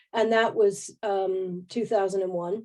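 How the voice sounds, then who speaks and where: A woman's dark, mellow tone with an American accent, against a quiet background. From US Northeast (New Jersey). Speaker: agile coach and trainer. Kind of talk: webinar talk to online audience. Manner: animated.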